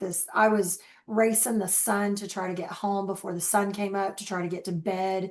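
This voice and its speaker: A medium-pitched woman at a moderate pace with fairly even intonation and a quiet background. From Oklahoma. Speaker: travel agent, former casino dealer. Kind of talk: interview conversation.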